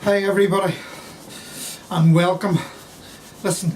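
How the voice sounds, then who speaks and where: A man with a Belfast accent speaks at a moderate pace in a flat monotone. There is noticeable background noise. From Belfast, Northern Ireland. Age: 60s. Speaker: carpenter. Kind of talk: woodworking tutorial. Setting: cold workshop. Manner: dry humour.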